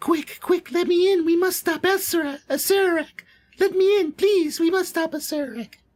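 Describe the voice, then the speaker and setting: An extremely high, squeaky put-on character voice at a moderate pace. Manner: urgent, pleading.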